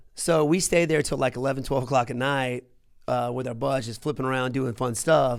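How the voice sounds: Speaking at a fairly quick pace, a man uses a medium pitch, fairly even intonation and vocal fry on a very clean recording with a silent background.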